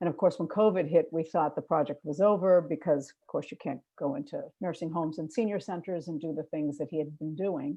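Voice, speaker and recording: Speaking with a Boston accent at a fairly quick pace with hardly any pauses, a woman uses a fairly low voice with ordinary pitch variation and big swings in loudness. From Boston, Massachusetts. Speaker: filmmaker. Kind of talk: panel discussion.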